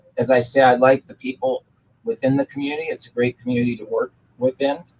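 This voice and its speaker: A man talks at a very fast pace and medium pitch, with fairly even intonation. His loudness swings a lot, and the sound is dry and close with no echo. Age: 60s. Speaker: employment lawyer and author. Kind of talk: interview chat.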